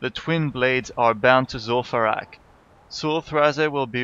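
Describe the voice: The speaker delivers the words as plain reading aloud.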